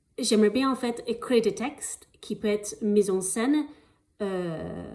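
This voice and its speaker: At a very slow pace, a woman talks with a fairly high pitch. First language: not French (speaking French). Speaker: actress applying for an artist residency. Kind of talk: video application pitch. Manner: halting, many hesitations.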